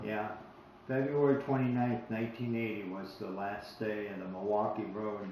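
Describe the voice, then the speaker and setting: A man with a fairly low pitch talks at a moderate pace over noticeable background noise. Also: fairly even intonation. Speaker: interviewer, local railroad historian. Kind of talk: casual interview questions.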